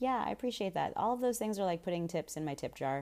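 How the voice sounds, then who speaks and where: A woman's medium-pitched voice comes through on a very clean recording against a silent background. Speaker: solo podcast host. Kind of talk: casual monologue. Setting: unfamiliar room, keeping voice down. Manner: quieter than usual.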